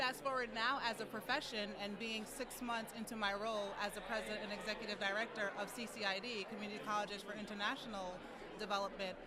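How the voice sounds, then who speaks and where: A woman talks very fast at a fairly high pitch in a flat monotone. Room echo is audible, and a crowd can be heard in the background. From US, New York. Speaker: nonprofit executive director. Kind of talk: interview. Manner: fluent with filler words.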